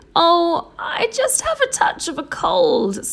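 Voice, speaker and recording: Using a put-on character voice, a woman speaks fairly slowly in an extremely high, squeaky pitch. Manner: feigning a cold.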